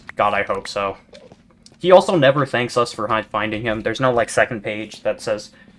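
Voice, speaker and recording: Over noticeable background noise, a man with a medium pitch talks at a fairly quick pace. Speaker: gaming YouTuber. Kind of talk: casual gameplay commentary. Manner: monotone; rambling stammering chatter.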